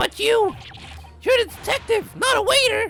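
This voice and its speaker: A put-on character voice, squeaky and extremely high-pitched, goes at a moderate pace over faint background music. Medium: game stream. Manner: condescending.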